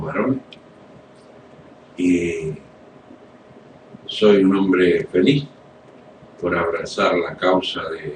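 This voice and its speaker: Over noticeable background noise, a man with a very deep, low pitch speaks very slowly, with long, frequent pauses. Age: 60s. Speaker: political activist. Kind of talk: radio interview.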